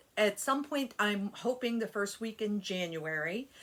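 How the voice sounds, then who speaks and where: A woman's plain, everyday voice, fairly high-pitched, at a moderate pace. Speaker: cross stitch youtuber. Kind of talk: casual vlog chat. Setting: home desk area.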